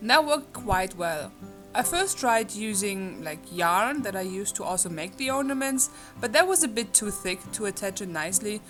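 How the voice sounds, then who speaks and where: A woman with a German accent at a moderate pace, her pitch swinging very widely, with music in the background. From Germany. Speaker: crochet crafter. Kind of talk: casual talk to camera.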